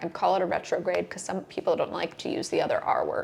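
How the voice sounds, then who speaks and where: Noticeable background noise sits under a woman's speech. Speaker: real estate agent. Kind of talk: market update vlog. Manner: chipper.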